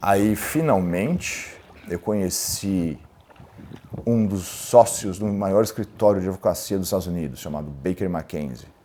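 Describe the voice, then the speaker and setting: An unremarkable speaking voice from a man, fairly low in pitch, with ordinary pitch variation at a fairly slow pace. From Brazil, São Paulo. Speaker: lawyer and entrepreneur. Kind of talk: interview storytelling.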